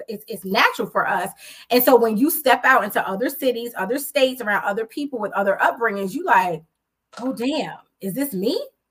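With an American accent, a woman speaks in a fairly high pitch at a fairly quick pace, her intonation lively and her tone animated. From Jamaica, Queens, New York City. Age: 40s. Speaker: podcast host. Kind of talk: casual chat. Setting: live stream. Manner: loud.

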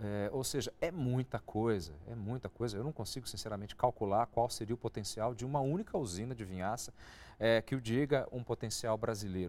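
A man with a medium-pitched, dark, mellow voice talks at a fairly quick pace with ordinary pitch variation. The recording is very clean, with a silent background. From interior of São Paulo state, Brazil. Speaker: agribusiness TV show host. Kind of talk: interview.

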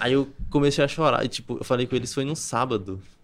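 The man keeps a moderate tempo and ordinary pitch variation on a very clean recording with a silent background. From Brazil, Campina Grande, Paraíba. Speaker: copywriter. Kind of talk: podcast interview.

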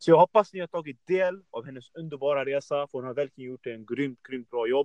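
There is a normal speaking voice from a man, fairly high in pitch. He keeps a moderate pace with ordinary pitch variation. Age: 20s. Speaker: fitness podcast host. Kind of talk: casual interview.

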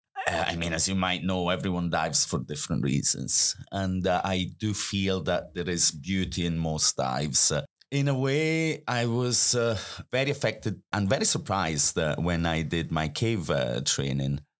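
Over a silent background in a very clean recording, a man with a very deep, low pitch speaks at a moderate pace, with very wide pitch swings and very even loudness. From Italy, Milan. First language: Italian. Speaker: snorkeling guide and diving instructor. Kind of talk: casual interview chat.

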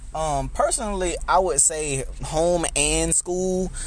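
There is audible room echo as a man speaks with a Southern US accent. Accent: Southern US (Georgia). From US South, Albany, Georgia. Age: 20s. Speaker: youth mentor and nonprofit founder. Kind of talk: interview conversation.

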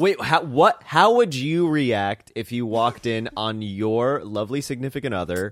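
A man with a normal speaking voice talks at a moderate pace and a medium pitch, with lively intonation, on a very clean recording with a silent background. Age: 20s. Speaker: podcast host and comedian. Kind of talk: casual chat.

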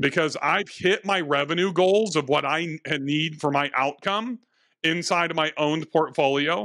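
Against a quiet background, a man talks in a normal speaking voice, fairly high in pitch with ordinary pitch variation. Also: moderate pace. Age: 50s. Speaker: real estate investor and coach. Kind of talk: interview.

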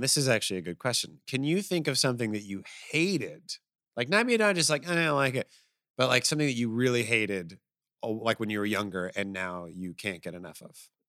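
A man's bright, sharp, animated voice at a medium pitch, fairly quick, with very wide pitch swings, in a very clean recording with a silent background. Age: 20s. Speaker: podcast co-host. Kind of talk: casual chat.

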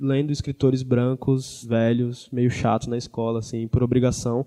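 Monotone and flat in intonation, a man speaks at a fairly quick pace with a medium pitch and a dark, mellow tone, the sound dry and close with no echo. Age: 20s. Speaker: writer and journalist. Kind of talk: panel talk.

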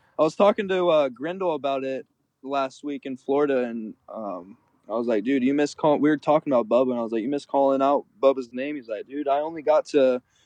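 An ordinary speaking voice with an American accent moves at a fairly quick pace with ordinary pitch variation. The sound is dry and close, with no echo. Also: man, fairly high pitch for a man. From Arizona, US (Gilbert). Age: 20s. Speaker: pro BMX racer. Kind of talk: casual chat. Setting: phone call from a truck.

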